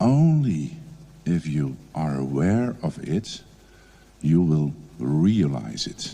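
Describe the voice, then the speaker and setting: A man with a Dutch accent, a dark, mellow tone and a very slow pace. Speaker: educational support advisor. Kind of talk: conference presentation. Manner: hesitant, many fillers.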